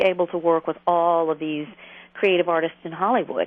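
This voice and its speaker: A woman with an Atlanta accent, fairly low in pitch, at a moderate pace. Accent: Southern US (Atlanta). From US South, Atlanta. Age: 50s. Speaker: therapist and author. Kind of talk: radio interview.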